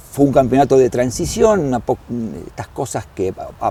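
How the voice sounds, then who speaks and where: A man's fairly high voice at a moderate pace over noticeable background noise. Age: 60s. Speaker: club historian and doctor. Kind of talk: interview. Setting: at a football stadium. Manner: halting, with fillers and repetitions.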